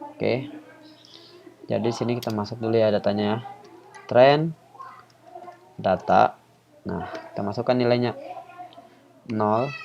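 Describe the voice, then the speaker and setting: Soft-spoken delivery comes at a fairly slow pace with long, frequent pauses and fairly even intonation. Noticeable background noise sits behind it. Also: man, medium pitch for a man. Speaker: YouTuber and student teaching coding. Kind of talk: tutorial. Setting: home recording. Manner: casual. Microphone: quiet voice level.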